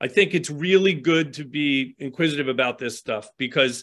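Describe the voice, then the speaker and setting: A man with an American accent speaks in an ordinary speaking voice at a moderate pace with ordinary pitch variation. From US, Baltimore, Maryland. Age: 60s. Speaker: tattoo artist. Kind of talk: interview.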